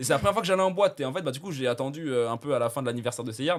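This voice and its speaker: Speaking at a very fast pace, a man with a medium pitch uses an animated tone and lively intonation in a very clean recording with a silent background. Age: 20s. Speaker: thumbnail designer. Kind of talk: casual chat.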